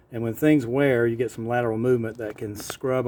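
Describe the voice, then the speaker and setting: A medium-pitched male voice against noticeable background noise. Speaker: vintage motorcycle seller and carburetor specialist. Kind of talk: casual walk-around narration to camera.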